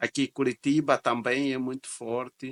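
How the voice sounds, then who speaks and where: Very slow and medium-pitched, a man's voice comes across with a bright, sharp tone in a dry, close sound that has no echo. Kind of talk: reaction video commentary.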